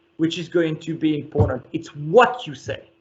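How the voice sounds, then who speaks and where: Lively intonation carries the speech along at a fairly slow pace. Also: man. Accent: French. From France. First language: French. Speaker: company chief executive. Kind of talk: interview.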